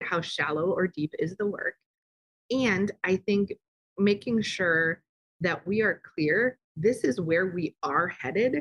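A woman with a plain, everyday voice, medium in pitch, with ordinary pitch variation. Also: dry, close sound with no echo. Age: 40s. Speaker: consultancy CEO, former nonprofit director. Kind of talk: interview. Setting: same room as co-guest.

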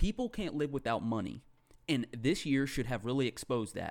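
Recorded very cleanly against a silent background, a man with an ordinary speaking voice talks at a moderate pace and a medium pitch. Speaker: podcast co-host. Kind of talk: casual banter, profane.

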